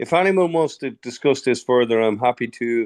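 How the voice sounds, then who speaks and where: Against a quiet background with dry, close sound and no echo, a man at medium pitch speaks with an Irish accent at a moderate pace. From Ireland. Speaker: dentist. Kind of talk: webinar discussion.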